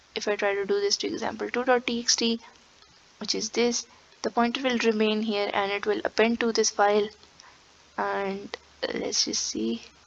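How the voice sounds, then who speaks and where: Against noticeable background noise, a woman with a fairly high voice speaks at a moderate pace with fairly even intonation and long, frequent pauses. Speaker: programming tutor. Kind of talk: tutorial. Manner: casual, with fillers.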